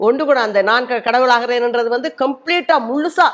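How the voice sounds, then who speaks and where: The woman's pitch is high. It varies in an ordinary way. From Sri Lanka, Murunkan village. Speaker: speaker at a book launch. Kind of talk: speech. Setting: book launch event.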